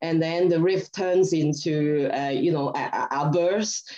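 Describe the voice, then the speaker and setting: This woman's voice is fairly low and dark and mellow in tone, moving at a moderate pace. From Hong Kong. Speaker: rock band singer. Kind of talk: interview. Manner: halting.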